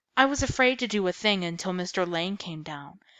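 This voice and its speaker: Someone does a put-on character voice at a fairly quick pace. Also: female-sounding voice, medium pitch for a woman. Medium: read story. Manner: excitable, emotional.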